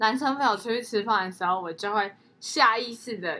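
A woman's fairly high voice, bright and sharp in tone, at a fairly quick pace. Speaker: podcast co-host. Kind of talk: casual chat.

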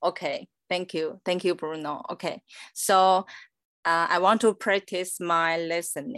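With a Chinese accent, a woman of fairly low pitch and ordinary pitch variation talks at a fairly slow pace, in a dry, close sound with no echo and a quiet background. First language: Mandarin Chinese. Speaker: guest. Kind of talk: casual chat.

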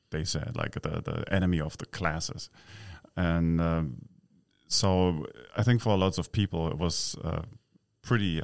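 With a German accent, a man speaks at a fairly slow pace in a very deep, low pitch with ordinary pitch variation. The recording is very clean, with a silent background. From East Berlin, Germany. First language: German (speaking Chinese). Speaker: expat living in Taiwan. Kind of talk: interview.

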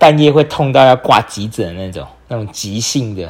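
A man at a moderate pace. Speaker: podcast host and entrepreneur. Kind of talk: solo podcast monologue.

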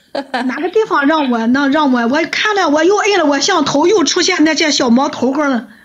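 A woman's high-pitched voice with lively intonation, very even loudness, hardly any pauses and a moderate pace, amid noticeable background noise. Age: old. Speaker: livestreamer. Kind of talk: casual chat.

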